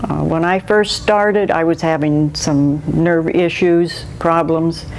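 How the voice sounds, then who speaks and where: A woman speaks at a fairly slow pace in a fairly low voice. Her intonation stays fairly even over noticeable background noise. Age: 70s. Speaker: manatee caretaker. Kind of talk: interview. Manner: casual, chatty.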